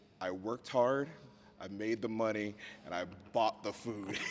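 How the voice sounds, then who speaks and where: A man with an American accent speaks at a medium pitch and moderate pace. Noticeable background noise runs under his voice. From US South, outskirts of Richmond, Virginia. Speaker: podcast host. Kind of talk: casual interview chat. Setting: on location in a museum.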